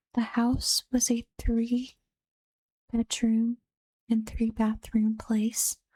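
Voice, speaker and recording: Soft-spoken, very slow delivery full of long, frequent pauses. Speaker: vtuber and streamer. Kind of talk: reading reddit horror stories aloud.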